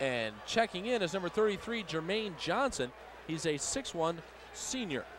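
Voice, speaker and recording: Amid noticeable background noise but in a dry sound with no echo, a man speaks at a fairly slow pace in a high voice with very wide pitch swings. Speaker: radio color commentator. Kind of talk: live commentary. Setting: arena broadcast booth. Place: stadium.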